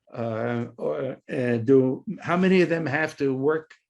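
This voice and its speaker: A man with an American accent, his fairly high pitch carried by lively intonation. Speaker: retired professor of education. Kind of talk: lecture to teachers. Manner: halting, many fillers and repetitions.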